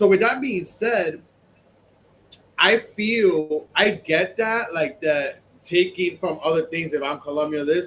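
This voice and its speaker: A man's high voice at a very slow pace, with ordinary pitch variation. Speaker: podcast co-host. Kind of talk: casual chat.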